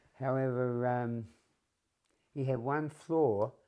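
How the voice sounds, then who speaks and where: Speaking in a New Zealand accent, a man at a medium pitch has a dark, mellow tone and fairly even intonation. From New Zealand, Wanganui. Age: 80s+. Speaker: retired shepherd telling his life story. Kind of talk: life story interview.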